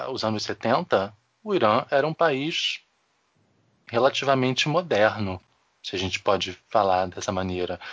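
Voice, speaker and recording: With very wide pitch swings at a medium pitch, a man speaks at a fairly slow pace with long, frequent pauses. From Rio de Janeiro. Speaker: podcast co-host. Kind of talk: casual chat.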